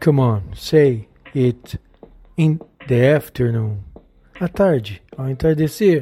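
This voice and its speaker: The speaker has a Portuguese accent and a very slow pace. Long pauses come often. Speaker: English teacher. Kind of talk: tutorial. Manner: slow, repetitive drilling.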